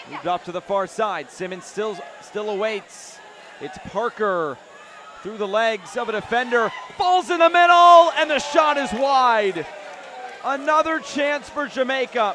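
Over noticeable background noise, a man raises and projects his voice at an extremely high pitch. His pitch swings very widely. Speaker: match commentator. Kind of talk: live sports commentary, play-by-play. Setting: stadium, commentating at the match.

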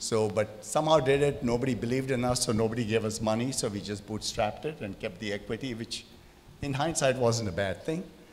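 Talking at a very fast pace with ordinary pitch variation, a man is heard over light background noise. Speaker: speaker. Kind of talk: panel discussion answer. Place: hall. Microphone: handheld.

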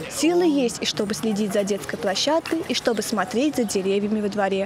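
Over noticeable background noise, a woman with a fairly high pitch talks at a fairly quick pace, her intonation lively and her loudness very even. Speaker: TV reporter. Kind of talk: TV news report.

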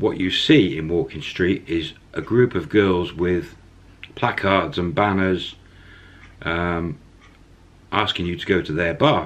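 A man with a very deep, low pitch speaks at a fairly slow pace. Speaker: storyteller vlogger. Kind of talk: casual vlog storytelling. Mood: relaxed, smiling. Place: home room. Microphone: phone near.

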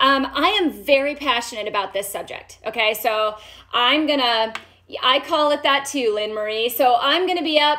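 A woman's raised, projected voice at a moderate pace, full of lively intonation. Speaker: doctor hosting a health live stream. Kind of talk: live stream health talk. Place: home room.

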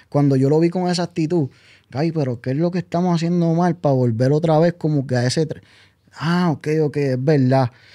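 The background stays quiet. Against it, a man talks in a dark, mellow tone. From Puerto Rico, Comerío; Puerto Rico. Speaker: music producer; guest. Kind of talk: interview. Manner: serious. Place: studio. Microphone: studio mic.

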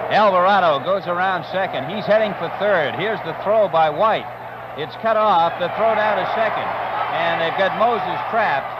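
A man at a fairly slow pace with ordinary pitch variation, the sound dry with no echo and the background noise loud. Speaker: play-by-play announcer. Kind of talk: sports commentary. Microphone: old recording.

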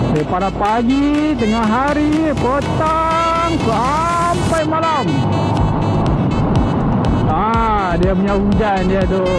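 A man speaks over loud music in the background. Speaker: motovlogger rider. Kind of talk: casual vlog chat. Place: motorbike. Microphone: lapel.

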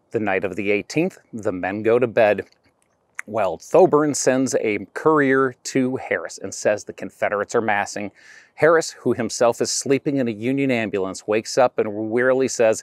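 A man speaks at a moderate pace with ordinary pitch variation. The recording is dry with no echo and has a quiet background. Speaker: presenter. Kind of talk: tutorial. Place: open country. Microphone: lapel.

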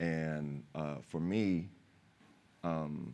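With an American accent, a man talks in a very deep, low pitch and fairly even intonation. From California, family from West Philadelphia. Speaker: actor and former pro basketball player; actor. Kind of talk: panel discussion. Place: stage. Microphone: lapel.

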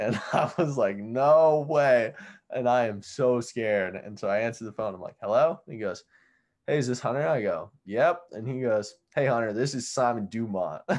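A man's ordinary speaking voice with an American accent, medium pitch, ordinary pitch variation, a moderate pace and big swings in loudness. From Oregon, US (Bend). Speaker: pro freestyle skier. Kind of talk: casual interview.

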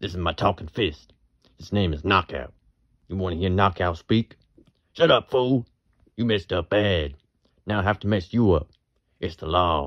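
Putting on a character voice, a man speaks at a moderate pace in a very deep, low pitch, with long, frequent pauses. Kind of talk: comic overacting. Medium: solo performance. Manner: menacing, comic tough-talk.

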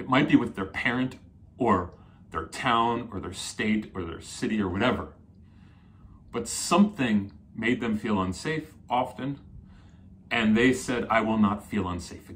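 A man with an American accent talks at a fairly slow pace, leaving long, frequent pauses. His pitch varies in an ordinary way while his loudness swings widely. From New Jersey. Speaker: psychotherapist; coach explaining personality types. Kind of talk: solo video talk. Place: home room.

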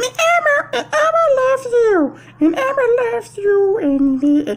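A put-on character voice with an extremely high pitch and very wide pitch swings moves at a fairly slow pace. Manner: cheerful, affectionate.

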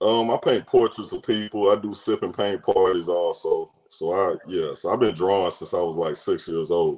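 At a moderate pace and with hardly any pauses, a man speaks against a quiet background. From Nashville, Tennessee; Tennessee. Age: 40s. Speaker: caller; guest. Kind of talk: casual chat. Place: home room. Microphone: video call.

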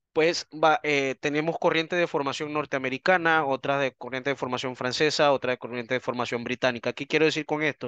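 A fairly high-pitched man's voice with a bright, sharp tone, fairly even intonation, a fairly quick pace and hardly any pauses, in a dry sound with no echo over a quiet background. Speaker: anthropologist and criminalist lecturer; criminalist lecturer. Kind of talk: online seminar lecture. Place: home room.

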